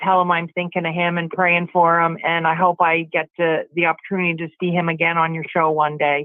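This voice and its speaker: A woman speaks in a fairly low pitch with a monotone, flat intonation. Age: 60s. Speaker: caller. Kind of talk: phone-in chat.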